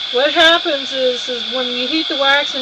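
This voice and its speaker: Room echo and noticeable background noise surround a woman's high-pitched voice. She speaks at a moderate pace with fairly even intonation. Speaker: fiber artist. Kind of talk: live-stream tutorial. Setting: studio. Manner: loud.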